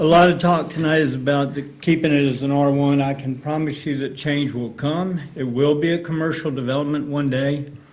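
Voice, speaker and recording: A man's fairly high, monotone voice at a fairly quick pace, with flat intonation, noticeable background noise and audible room echo. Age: 80s+. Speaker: resident speaking at public hearing. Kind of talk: public comment at county board hearing.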